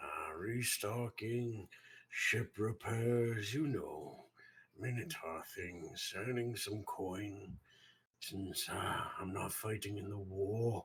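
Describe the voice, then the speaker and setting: In a put-on character voice, a man speaks at a medium pitch and a very slow pace. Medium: actual play. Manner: guarded, hesitant.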